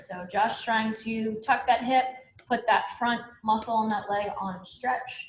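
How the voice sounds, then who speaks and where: A woman with an American accent speaks at a very slow pace and a high pitch. Audible room echo surrounds her voice. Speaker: yoga instructor. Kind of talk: live online fitness class instruction. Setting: livestreamed class from home. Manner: calm, instructive.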